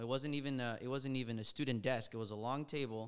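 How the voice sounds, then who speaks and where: With an American accent, a man at medium pitch speaks in a bright, sharp tone with fairly even intonation. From Los Angeles, US. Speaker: friend. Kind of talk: casual chat.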